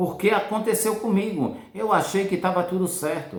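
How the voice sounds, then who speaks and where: Speaking fairly slowly, the man's voice carries audible echo from the room. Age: 50s. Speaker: financial educator, former truck driver. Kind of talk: casual motivational talk. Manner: halting, repetitive.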